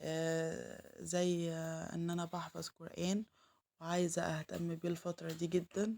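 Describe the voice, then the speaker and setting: A woman with an Egyptian accent speaks in a dark, mellow tone. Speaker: home vlogger, mother. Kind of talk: casual vlog narration. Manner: halting, many fillers.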